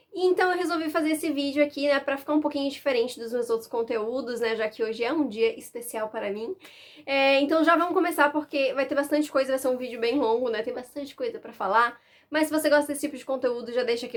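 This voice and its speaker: A woman talks very fast in a high voice, with ordinary pitch variation. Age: 20s. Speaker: book YouTuber. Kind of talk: casual chat.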